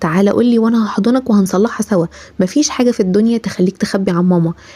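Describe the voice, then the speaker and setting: Over noticeable background noise, a woman talks at a very fast pace in a fairly high voice with ordinary pitch variation. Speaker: parenting advice creator. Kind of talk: casual talk to camera, parenting advice.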